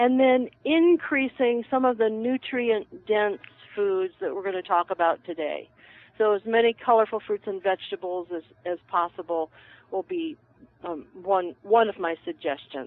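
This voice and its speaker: At a moderate pace, a woman talks with a fairly high pitch and very wide pitch swings. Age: 60s. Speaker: herbalist. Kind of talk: casual chat.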